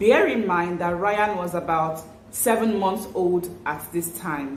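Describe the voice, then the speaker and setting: Fairly slow speech from a woman, medium in pitch with ordinary pitch variation, amid audible room echo and noticeable background noise. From Nigeria. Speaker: parenting vlogger. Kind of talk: vlog talk to camera. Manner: warm, chatty.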